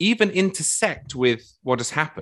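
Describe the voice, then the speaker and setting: Against a quiet background, a man with an English accent speaks at a fairly high pitch with very wide pitch swings. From England. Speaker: political writer and podcast co-host. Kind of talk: panel discussion.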